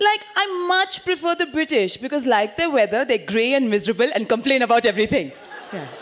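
A woman talks at a fairly quick pace in a high voice with very wide pitch swings. Her tone is animated and playful. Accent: Indian. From India. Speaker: stand-up comedian. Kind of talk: stand-up comedy. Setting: stage with audience. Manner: animated, playful; quick-witted, sarcastic, with mimicked voices. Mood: sarcastic, playful. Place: stage. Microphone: handheld.

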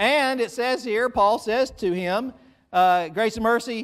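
The speaker is a man. Behind him, things stay quiet. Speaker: pastor. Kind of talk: sermon. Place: church.

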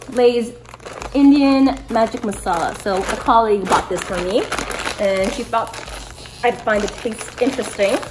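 A woman speaks fairly slowly, with long, frequent pauses and ordinary pitch variation. Noticeable background noise is present. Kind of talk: casual vlog chat. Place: home room. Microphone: phone near.

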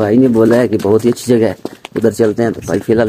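Over light background noise, a man with a fairly low pitch speaks with fairly even intonation in a dry sound with no echo. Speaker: travel vlogger. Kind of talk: casual vlog chat. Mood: cheerful, joking. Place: street. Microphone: phone near.

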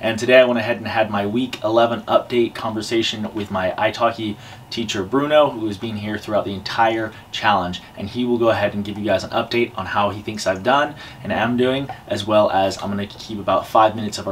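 Over light background noise, the speech runs at a very fast pace with hardly any pauses and fairly even intonation. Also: man. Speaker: YouTuber learning Spanish. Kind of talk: vlog to camera; language lesson conversation. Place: home room. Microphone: camera far.

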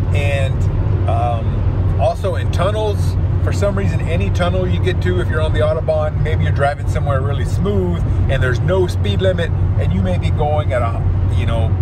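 Against loud background noise, a man speaks at a moderate pace in a dry sound with no echo. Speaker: expat vlogger. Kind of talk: casual vlog chat. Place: car. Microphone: phone near.

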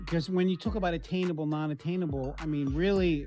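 Over clear background music, a man talks at a fairly quick pace with ordinary pitch variation. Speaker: life coach. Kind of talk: interview answer. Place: office. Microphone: webcam.

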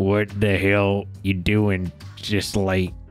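A man uses a put-on character voice that is raspy and fairly low, delivered in a flat monotone, with clear music playing in the background. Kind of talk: reading game dialogue aloud. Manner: angry, confronting.

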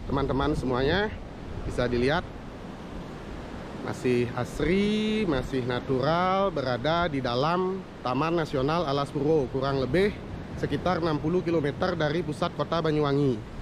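A man talks at a moderate pace with very even loudness and ordinary pitch variation. The sound is dry with no echo, though there is noticeable background noise. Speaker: travel vlogger. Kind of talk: casual vlog chat. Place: beach. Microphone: phone near.

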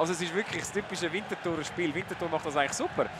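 Noticeable background noise sits behind the speaker. He is a man with a high pitch and fairly even intonation. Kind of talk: live sports commentary over match footage.

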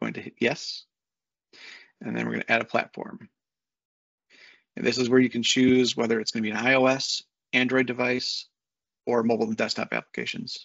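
With a fairly bright tone and vocal fry, a man talks at a fairly quick pace, showing little pitch movement and long, frequent pauses. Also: medium pitch for a man.

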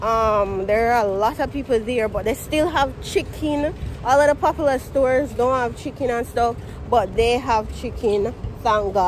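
Someone with a Jamaican accent talks at a moderate pace with ordinary pitch variation, the sound dry with no echo and light background noise behind it. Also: woman, high pitch for a woman. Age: 20s. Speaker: vlogger. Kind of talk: casual vlog talk to camera. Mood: cheerful, relaxed. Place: street. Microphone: phone near.

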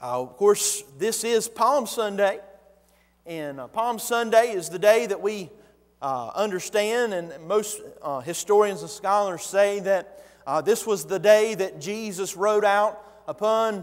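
A man's high-pitched voice with big swings in loudness. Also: ordinary pitch variation, fairly slow pace, quiet background. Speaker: pastor. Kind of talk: sermon. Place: church. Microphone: lapel.

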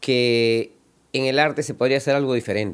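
This man's voice sits at a medium pitch. He speaks very slowly. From Ecuador (Quevedo, Guayaquil). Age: 60s. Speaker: artist. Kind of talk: interview monologue. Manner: halting, with repetitions.

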